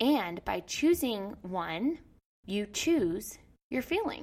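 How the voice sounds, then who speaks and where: Animated and enthusiastic, a woman speaks at a fairly high pitch with very wide pitch swings. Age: 70s. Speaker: podcast host and life coach. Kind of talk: solo podcast talk, coaching-style teaching. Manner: animated, enthusiastic.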